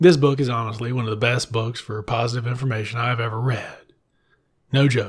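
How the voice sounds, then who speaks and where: Somewhat breathy, a man speaks at medium pitch and a moderate pace. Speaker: librarian podcast host reviewing books. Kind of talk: solo book review monologue. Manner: animated.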